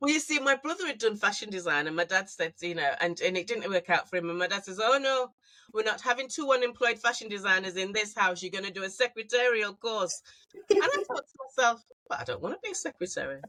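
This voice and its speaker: Very fast and lively, a woman speaks with a northern English accent at a fairly high pitch. Her loudness swings a lot. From northern England, Manchester. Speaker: fashion designer. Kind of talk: casual chat.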